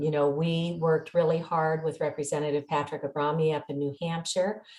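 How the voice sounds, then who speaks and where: A woman speaks in a normal speaking voice at a fairly low pitch. Her pace is moderate. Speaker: meeting host, activist. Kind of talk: online meeting.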